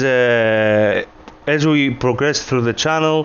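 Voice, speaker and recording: A man talks at a medium pitch. His voice has ordinary pitch variation, with noticeable background noise behind it. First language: not English. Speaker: gaming video creator. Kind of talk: tutorial. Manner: hesitant, many filler words.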